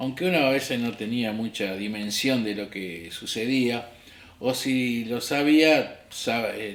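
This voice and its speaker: A man's medium-pitched voice with an Argentine accent and ordinary pitch variation. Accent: Argentine Spanish (Rioplatense). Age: 60s. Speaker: history teacher and political activist. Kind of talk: interview testimony.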